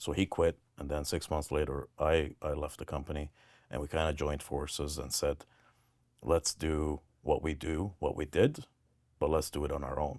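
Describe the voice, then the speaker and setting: A man speaks at a moderate pace with a very deep, low pitch and vocal fry. His intonation stays fairly even in a very clean recording with a silent background. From Lebanon, Armenian community in Beirut. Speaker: welding business owner. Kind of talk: interview answer.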